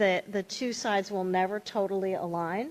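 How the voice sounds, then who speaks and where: In a plain, everyday voice, a woman speaks at a moderate pace with fairly even intonation. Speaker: privacy law panelist. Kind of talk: panel Q&A.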